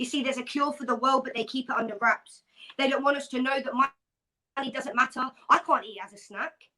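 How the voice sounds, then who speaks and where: A woman with a high pitch and a bright, sharp tone uses a raised, projected voice at a fairly quick pace, her intonation fairly even but her loudness swinging widely. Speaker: spoken word poet. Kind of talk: poetry reading.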